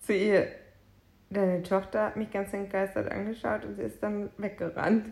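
With vocal fry in her medium-pitched voice, a woman speaks at a moderate pace and with fairly even intonation. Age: 30s. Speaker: podcast co-host. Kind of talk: casual chat.

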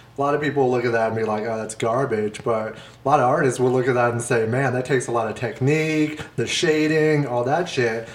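Audible room echo follows a man who speaks with hardly any pauses. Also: medium pitch for a man, fairly even intonation, fairly quick pace. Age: 30s. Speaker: podcast co-host. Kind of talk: casual chat.

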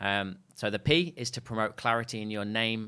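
In a very clean recording with a silent background, a man with an East Midlands accent speaks in a fairly low pitch with a bright, sharp tone. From England, Leicester. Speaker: sales trainer and business co-founder. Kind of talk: interview. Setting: studio.

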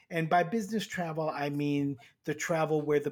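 A man's plain, everyday voice, fairly high in pitch, at a moderate pace on a very clean recording with a silent background. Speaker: airline executive and economics professor.

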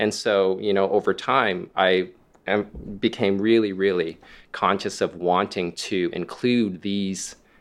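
Over a quiet background, a man speaks in a normal speaking voice at a fairly slow pace. His intonation stays fairly even. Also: fairly low pitch for a man. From Canada, Toronto. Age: 40s. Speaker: illustrator and art instructor. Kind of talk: panel discussion. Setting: live event venue.

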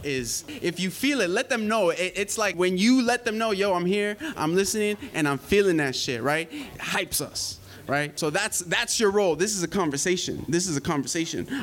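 Energetic in tone, a man speaks with a high pitch and lively intonation. Noticeable background noise runs underneath. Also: moderate pace. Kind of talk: live slam emcee patter. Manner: hype, loud, energetic.

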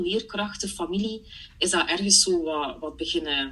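Noticeable background noise runs behind a woman whose pitch varies in an ordinary way. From Belgium (Flanders), partly Germany. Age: 30s. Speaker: part-time coach. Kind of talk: casual interview chat. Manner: animated, laughs often.

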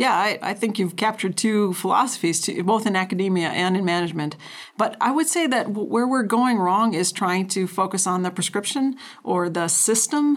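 Here is an ordinary speaking voice, a woman's, medium in pitch with an American accent. She speaks at a moderate pace with ordinary pitch variation. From North Dakota, US Upper Midwest. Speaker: rangeland scientist. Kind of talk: interview.

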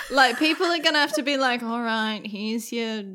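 A woman speaks in an Australian accent. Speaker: podcast co-host. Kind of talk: casual chat.

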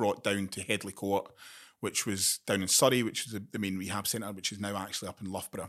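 A man with a fairly low voice talks in a very clean recording against a silent background. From Scotland, Glasgow. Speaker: military veteran and gambling harm charity trustee. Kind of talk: interview.

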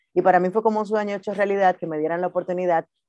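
This is an unremarkable speaking voice. The intonation stays fairly even. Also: woman. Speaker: radio host and producer. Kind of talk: interview.

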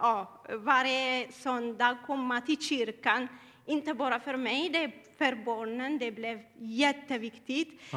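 Her voice is high-pitched with a bright, sharp tone. The woman talks very slowly, her intonation fairly even. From Eritrea. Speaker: church member. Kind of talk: testimony. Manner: halting.

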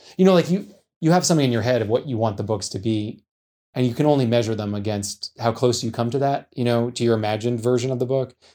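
Over a silent background in a very clean recording, a man talks at a very fast pace in a dark, mellow tone with ordinary pitch variation. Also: medium pitch for a man. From United States. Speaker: novelist. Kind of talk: interview.

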